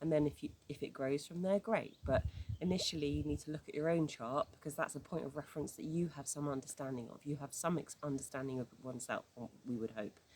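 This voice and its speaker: A woman talks at a very fast pace with a British accent. Her pitch is very deep and low. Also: ordinary pitch variation. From UK. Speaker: astrology teacher. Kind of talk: informal tutorial. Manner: halting, with many fillers and restarts.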